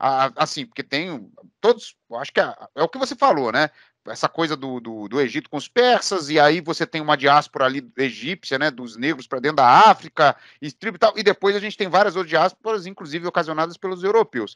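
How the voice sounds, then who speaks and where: A man speaks in a normal speaking voice, fairly high for a man, at a fairly quick pace with lively intonation and big swings in loudness, on a very clean recording with a silent background. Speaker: history teacher. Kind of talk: interviewer, casual conversation.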